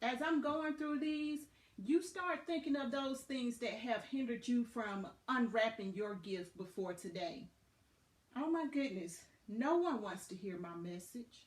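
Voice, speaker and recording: A woman with a Southern US accent talks at a fairly slow pace in a high pitch. Her pitch swings very widely. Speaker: motivational podcast host. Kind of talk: motivational talk. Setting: Facebook live video. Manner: animated.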